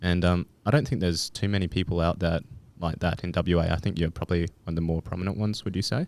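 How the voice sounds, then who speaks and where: The speaker has an Australian accent and talks at a very fast pace with ordinary pitch variation. The recording is very clean, the background silent. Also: man, very deep, low pitch for a man. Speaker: podcast host. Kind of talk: casual interview. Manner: hesitant, many fillers.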